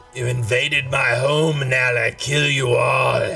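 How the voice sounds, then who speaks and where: In a put-on character voice, a man speaks raspily at a fairly slow pace and a fairly high pitch, with clear background noise behind him. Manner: broken up, halting delivery.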